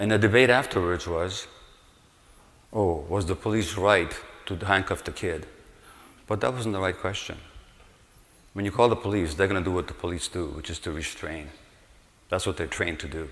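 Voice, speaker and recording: A moderate pace with ordinary pitch variation and long, frequent pauses. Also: man, very deep, low pitch for a man. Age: 80s+. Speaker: medical doctor. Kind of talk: public lecture.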